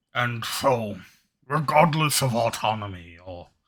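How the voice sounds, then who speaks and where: A raspy, put-on character voice moves at a fairly slow pace with ordinary pitch variation on a very clean recording with a silent background. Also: man. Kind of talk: solemn mystical roleplay. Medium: actual play. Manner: measured, formal, gracious.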